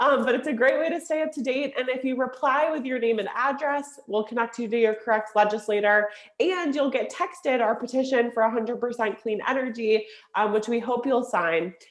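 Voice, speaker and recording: A woman speaks at a fairly quick pace in a high pitch. Her pitch varies in an ordinary way, with noticeable background noise behind her. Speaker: environmental advocacy organizer. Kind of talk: closing remarks on a virtual event. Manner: fast.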